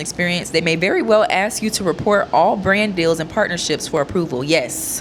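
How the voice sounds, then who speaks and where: Over noticeable background noise, a woman with a fairly low pitch talks at a fairly quick pace in an animated tone with ordinary pitch variation. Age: 20s. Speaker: content creator. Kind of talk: reading aloud with commentary.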